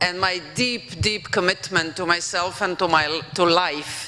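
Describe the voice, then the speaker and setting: With a Slovenian accent, a woman speaks at a fairly slow pace with ordinary pitch variation over noticeable background noise. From Slovenia (former Yugoslavia). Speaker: professor and former European commissioner. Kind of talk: conference keynote speech. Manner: hesitant, with fillers.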